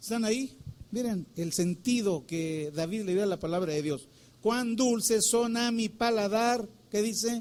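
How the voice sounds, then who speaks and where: This is a man's voice. His pitch is high. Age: 60s. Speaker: pastor. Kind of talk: sermon.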